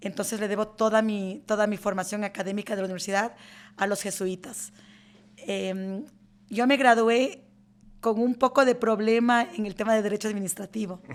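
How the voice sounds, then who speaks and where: Recorded very cleanly with a silent background, a woman speaks at a moderate pace in a fairly high pitch with fairly even intonation. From Ecuador, rural Chimborazo highlands. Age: 50s. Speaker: lawyer and law firm CEO. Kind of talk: interview. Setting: in-person interview in an office.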